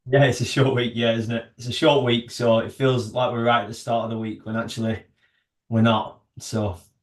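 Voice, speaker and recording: A man with a northern English accent, medium pitch, flat monotone intonation and a moderate pace. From northern England. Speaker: army veteran and startup founder. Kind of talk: podcast interview. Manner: hesitant, many fillers.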